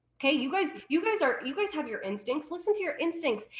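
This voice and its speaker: A woman in an animated, bright, sharp tone with very wide pitch swings. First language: Spanish. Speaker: network marketing director. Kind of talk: sales pitch.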